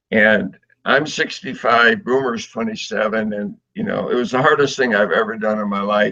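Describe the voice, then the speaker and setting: A man speaks with an American accent and lively intonation. His tone is bright and sharp. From US Northeast, Connecticut. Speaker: adventurer and author. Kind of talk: casual interview storytelling. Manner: animated.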